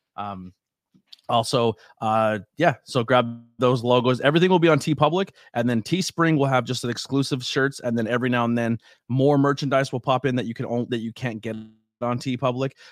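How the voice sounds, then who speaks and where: A man speaks in an energetic tone at a medium pitch and moderate pace, with ordinary pitch variation. The sound is dry and close with no echo, on a very clean recording with a silent background. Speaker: podcast host and wrestling commentator. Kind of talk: casual chat. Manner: loud.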